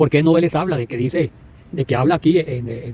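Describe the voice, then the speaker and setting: A fairly high-pitched man with a dark, mellow tone, lively intonation and a fairly quick pace. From Costa Rica, Puntarenas. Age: 60s. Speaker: evangelical preacher. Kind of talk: religious commentary monologue. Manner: halting, with many repetitions.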